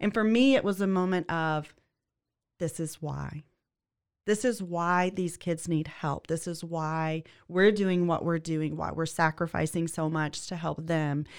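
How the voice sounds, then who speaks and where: A woman with a Louisiana accent speaks at a fairly low pitch and a fairly slow pace on a very clean recording with a silent background. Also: ordinary pitch variation. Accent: Louisiana Southern. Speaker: legal assistant. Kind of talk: casual interview.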